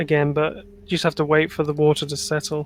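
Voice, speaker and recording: A man with a southern English accent, fairly high-pitched, at a fairly quick pace. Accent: generic southern English. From Channel Islands. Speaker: gamer on stream. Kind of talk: casual chat.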